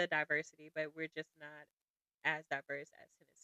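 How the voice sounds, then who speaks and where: An American accent is heard. The speaker is a woman. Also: dry, close sound with no echo. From US South, Jackson, Mississippi. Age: 30s. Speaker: podcast guest. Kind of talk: casual interview chat.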